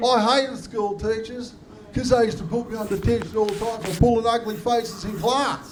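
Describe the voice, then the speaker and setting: A man speaks with an Australian accent, his pitch high and his intonation fairly even. Noticeable background noise and audible room echo are present. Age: 50s. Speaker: comedian. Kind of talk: stand-up.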